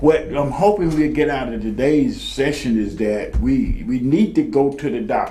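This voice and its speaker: A man talks at a moderate pace, hardly pausing at all, amid noticeable background noise. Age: 70s. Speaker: talk show host, Vietnam veteran. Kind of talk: casual chat.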